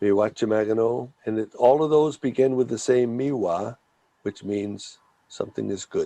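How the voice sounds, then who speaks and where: A man's dark, mellow voice at medium pitch, with ordinary pitch variation and a moderate pace. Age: 60s. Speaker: language teacher. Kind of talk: language lesson.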